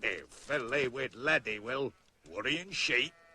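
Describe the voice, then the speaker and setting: A put-on, gruff character voice from a man in a Cumbrian accent, medium in pitch with ordinary pitch variation, at a fairly slow pace. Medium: short film. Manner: gruff, swearing.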